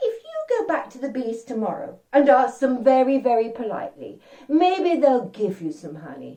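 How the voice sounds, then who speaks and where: A woman's high, put-on character voice at a moderate pace with hardly any pauses. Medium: read story. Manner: gentle, patient.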